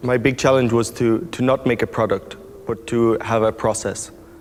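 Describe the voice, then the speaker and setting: A man with an Irish accent at a moderate pace, over noticeable background noise. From Ireland. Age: 20s. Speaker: circus performer. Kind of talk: interview monologue. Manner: halting.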